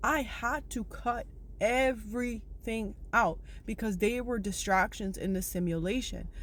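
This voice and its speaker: A woman with a fairly high pitch and vocal fry speaks at a fairly slow pace in an animated tone, with ordinary pitch variation and audible room echo. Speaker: spiritual self-help vlogger. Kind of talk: motivational monologue to viewers.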